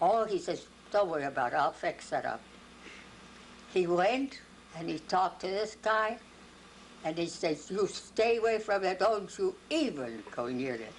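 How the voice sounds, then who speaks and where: A woman speaks fairly slowly at a medium pitch with vocal fry and very wide pitch swings. She leaves long, frequent pauses. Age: 80s+. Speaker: grandmother telling a family story on camera. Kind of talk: casual recounted life story in an interview. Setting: home video recording, 2001.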